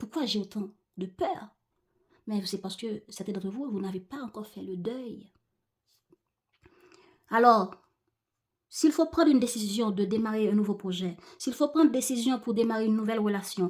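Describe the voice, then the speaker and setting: A woman with an ordinary speaking voice, fairly high in pitch, with ordinary pitch variation at a moderate pace. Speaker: tarot reader. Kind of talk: tarot reading talk to viewers.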